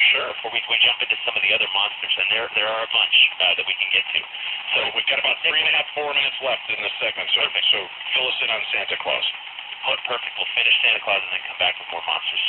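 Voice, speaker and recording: Noticeable background noise runs under this clip. A man talks at a very fast pace. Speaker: guest on a radio show discussing folklore. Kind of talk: radio talk show guest discussing folklore.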